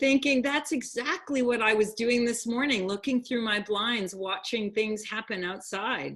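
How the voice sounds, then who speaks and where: A woman with a high pitch and lively intonation speaks at a moderate pace with hardly any pauses. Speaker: program host. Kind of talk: online talk show hosting.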